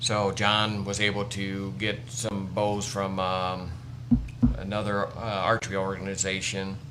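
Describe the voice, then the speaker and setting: Heard with audible room echo, a man with an American accent speaks in a fairly low pitch and a bright, sharp tone. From US Midwest, northwest Indiana. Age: 60s. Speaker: wildlife educator, army veteran. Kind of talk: casual interview chat.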